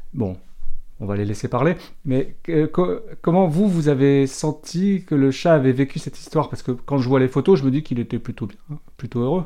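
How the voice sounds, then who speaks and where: A man's dark, mellow, fairly high voice with lively intonation, at a moderate pace against a quiet background. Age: 50s. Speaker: podcast host, dog specialist. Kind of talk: podcast interview.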